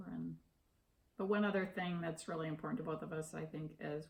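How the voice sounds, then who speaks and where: Vocal fry runs through a woman's fairly low-pitched voice, which varies in pitch in an ordinary way. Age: 60s. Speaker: interviewee, retiree. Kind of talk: interview. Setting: at home.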